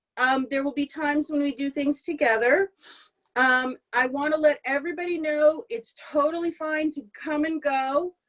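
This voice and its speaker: A loud woman's voice, high-pitched, at a moderate pace with ordinary pitch variation, in a dry, close sound with no echo. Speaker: prayer service leader. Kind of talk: service leading and welcome remarks.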